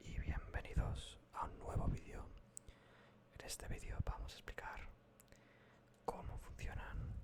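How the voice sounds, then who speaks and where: A man whispers in a calm tone at a very slow pace, with long, frequent pauses and big swings in loudness. Noticeable background noise sits behind him. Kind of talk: ASMR soft-whispered explainer about politics. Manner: soft-spoken, calm, whispered.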